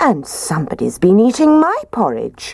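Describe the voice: In a put-on character voice, a woman speaks at a moderate pace with a medium pitch that swings very widely, a slightly mellow tone and vocal fry.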